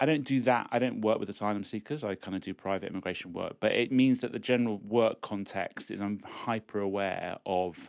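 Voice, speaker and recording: With a British accent, a man talks at a fairly quick pace in a fairly low pitch with ordinary pitch variation, on a very clean recording with a silent background. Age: 60s. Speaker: immigration lawyer. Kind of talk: casual chat. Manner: halting.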